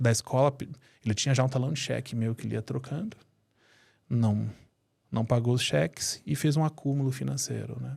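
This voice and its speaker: A man at a medium pitch, dark and mellow in tone, somewhat breathy, with ordinary pitch variation and long, frequent pauses, on a very clean recording with a silent background. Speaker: family constellation therapist and entrepreneur. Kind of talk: interview storytelling. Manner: animated.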